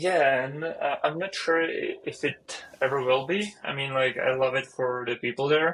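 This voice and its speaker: A man with a Czech accent and a fairly high pitch talks at a moderate pace with ordinary pitch variation and hardly any pauses. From Czech Republic. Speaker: software engineer. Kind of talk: casual chat.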